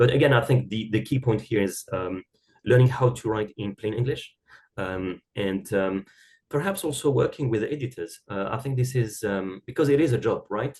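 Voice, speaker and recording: This man's voice is somewhat breathy. His pitch sits in the middle range. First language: not English (English is third language). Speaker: academic writing expert. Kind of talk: podcast interview. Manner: halting, many fillers and repeated words.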